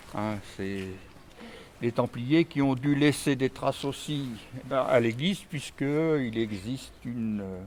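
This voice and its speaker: At a very slow pace with long, frequent pauses, a man speaks in a medium pitch with ordinary pitch variation. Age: old. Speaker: retired engineer, local historian. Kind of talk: casual chat, guided walking tour.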